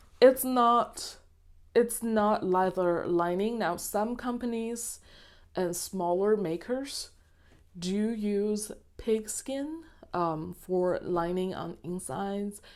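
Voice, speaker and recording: A woman with a non-native accent at a medium pitch and a very slow pace, in a very clean recording with a silent background. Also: ordinary pitch variation. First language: not English. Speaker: planner and leather goods reviewer. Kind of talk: product review. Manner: hesitant, many fillers.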